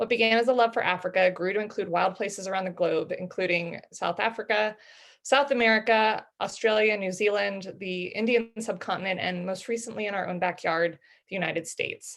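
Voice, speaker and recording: A woman speaks at a fairly quick pace in an ordinary speaking voice, her medium pitch and fairly even intonation set against a quiet background. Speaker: head of marketing. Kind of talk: webinar host introduction.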